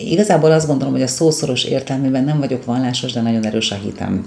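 Over noticeable background noise, a woman with a very deep, low pitch talks at a fairly quick pace. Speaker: psychologist. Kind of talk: casual interview. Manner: energetic; fast.

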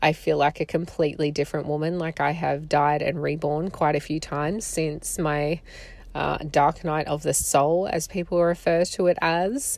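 Woman with a strong Australian accent, very deep and low in pitch, warm tone and vocal fry, monotone, flat intonation at a moderate pace, on a very clean recording with a silent background. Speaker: podcast host, photographer and doula. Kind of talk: solo podcast monologue. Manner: warm, conversational.

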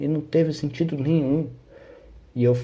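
Somewhat breathy, a man's dark, mellow voice moves with ordinary pitch variation. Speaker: podcaster. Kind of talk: solo podcast monologue. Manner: sleepy, low-energy delivery; slow.

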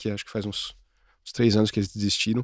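A man speaks in a very clean recording with a silent background. The sound is dry and close with no echo. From interior of São Paulo state, Brazil. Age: 40s. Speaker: advertising executive. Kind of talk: casual chat.

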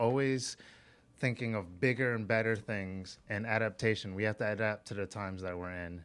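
Over a silent background in a very clean recording, a man with an unremarkable speaking voice talks at a fairly quick pace, fairly low in pitch, with fairly even intonation. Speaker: early-stage startup founder. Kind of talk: interview. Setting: studio.

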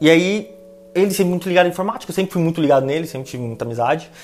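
With a São Paulo accent, a man talks at a very fast pace in an animated tone, with ordinary pitch variation over noticeable background noise. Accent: Paulistano Brazilian Portuguese. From São Paulo, East Zone. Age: 20s. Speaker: planning manager. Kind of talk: casual interview. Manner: slangy, animated.

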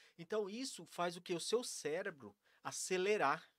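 Here a man speaks high with lively intonation. The sound is dry and close, with no echo. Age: 40s. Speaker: mindfulness and breathing practitioner. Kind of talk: casual interview on a live stream.

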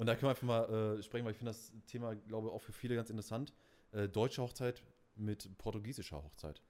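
The man speaks at a very fast pace in a medium pitch. His intonation stays fairly even. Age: 20s. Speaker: podcast co-host, DJ. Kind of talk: casual chat.

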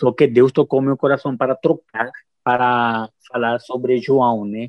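A man talks at a fairly slow pace and medium pitch with a Spanish-speaking accent. His intonation is monotone and flat. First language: Spanish (speaking Portuguese). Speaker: missionary. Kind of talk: testimony. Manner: halting.

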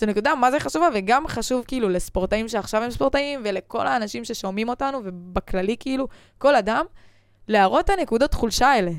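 This very clean recording with a silent background features a woman at a fairly high pitch. She talks at a fairly quick pace with lively intonation. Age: 20s. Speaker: podcast host, former gymnast. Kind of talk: casual chat.

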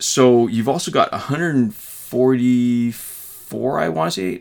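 In a Canadian accent, a man talks at medium pitch in a normal speaking voice. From Canada. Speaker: gaming YouTuber. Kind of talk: casual chat.

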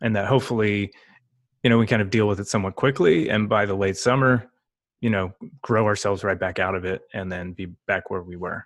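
A man with a normal speaking voice and an American accent talks fairly quickly at a fairly low pitch with fairly even intonation, in a very clean recording with a silent background. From US Northeast, New York area. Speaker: marketing podcast co-host. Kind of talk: casual chat. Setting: home, on camera.

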